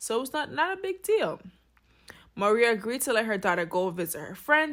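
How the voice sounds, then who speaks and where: Her tone bright, sharp and animated, a woman speaks at a fairly quick pace. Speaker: true crime commentator. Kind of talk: casual storytelling commentary. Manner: fast.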